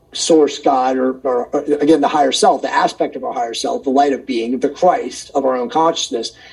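Moderate-paced speech from a man, with noticeable noise in the background. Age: 50s. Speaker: wellness and consciousness author. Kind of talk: casual chat.

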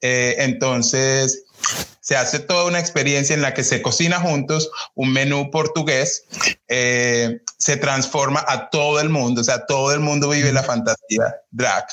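A man with a plain, everyday voice speaks at a fairly slow pace, fairly high pitch and very even loudness, with fairly even intonation. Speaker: drag performer. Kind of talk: casual chat.

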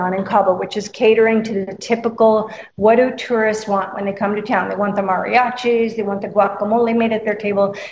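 A woman has a plain, everyday voice with a fairly high pitch. She speaks at a fairly quick pace with fairly even intonation. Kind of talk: casual radio interview chat. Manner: friendly, conversational.

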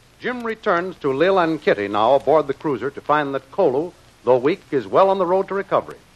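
Speaking at a fairly quick pace, a man uses lively intonation and a dramatic tone, recorded with a dry, close sound with no echo amid noticeable background noise. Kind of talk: old-time radio drama announcer narration. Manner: formal, crisp, dramatic announcer cadence.

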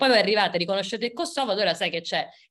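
A woman with a medium-pitched voice speaks with lively intonation on a very clean recording over a silent background. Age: 30s. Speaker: historian and book author. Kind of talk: book presentation talk.

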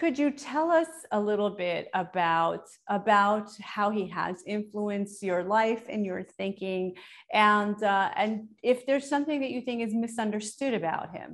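Against a quiet background, a woman speaks fairly slowly in a plain, everyday voice of medium pitch with an American accent. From Iran. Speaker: podcast host. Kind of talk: interview.

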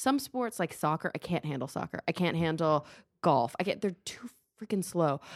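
In an American accent, a woman speaks at a moderate pace with lively intonation, in a dry, close sound with no echo on a very clean recording with a silent background. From Texas. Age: 30s. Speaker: podcast host. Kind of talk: casual interview. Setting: home studio.

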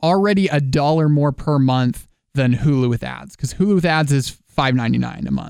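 A man with a normal speaking voice, fairly high in pitch and fairly quick in pace, with ordinary pitch variation. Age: 20s. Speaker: podcast co-host. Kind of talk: casual chat.

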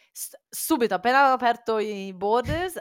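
On a very clean recording with a silent background, a woman speaks in a cheerful tone with lively intonation. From Italy, born Cagliari, raised Faenza. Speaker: entrepreneur. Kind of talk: casual interview chat. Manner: halting, searches for Italian words; cheerful, laughs often.

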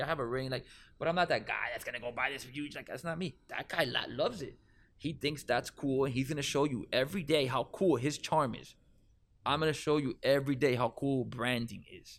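A man with a Miami accent at a very fast pace, with ordinary pitch variation. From Miami, Florida. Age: 30s. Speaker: cannabis event organizer. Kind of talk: casual interview. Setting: studio.

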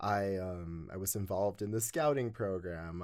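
On a very clean recording with a silent background, a man with an unremarkable speaking voice and an American accent talks at a moderate pace and a fairly low pitch. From Utah. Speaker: podcast guest sharing life story. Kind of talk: interview storytelling. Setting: studio.

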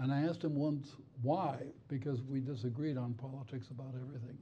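Fairly quick and somewhat breathy, a man speaks in a dark, mellow tone with fairly even intonation. Room echo is audible. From Spain and Cuba. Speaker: retired federal judge. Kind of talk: onstage interview. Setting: stage with audience.

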